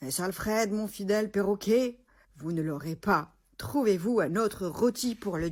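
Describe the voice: Plain reading aloud, pitch moving by ordinary amounts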